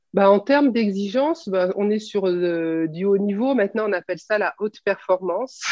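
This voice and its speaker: Moderate pace with hardly any pauses. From France, Clermont-Ferrand. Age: 40s. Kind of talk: interview. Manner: hesitant, many fillers.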